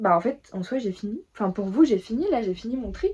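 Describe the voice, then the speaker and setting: A woman's fairly high voice proceeds at a moderate pace. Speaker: lifestyle vlogger. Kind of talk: casual vlog chat. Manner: casual, filler-heavy.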